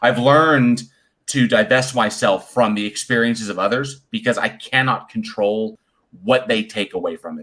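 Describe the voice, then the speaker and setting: Very clean recording, silent background, and a man with a normal speaking voice at a medium pitch and moderate pace. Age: 40s. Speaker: podcast guest. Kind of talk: casual chat.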